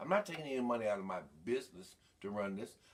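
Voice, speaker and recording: Speaking very fast with an American accent, a man sounds animated, his intonation lively. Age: 60s. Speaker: mayoral candidate hosting a live Q&A show. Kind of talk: campaign livestream address. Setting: live Facebook video stream.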